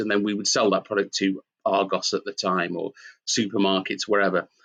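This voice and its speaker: A Manchester accent at a moderate pace, with a dry, close sound, no echo, and a quiet background. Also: man. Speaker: company founder and CEO. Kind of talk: interview. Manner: hesitant with fillers.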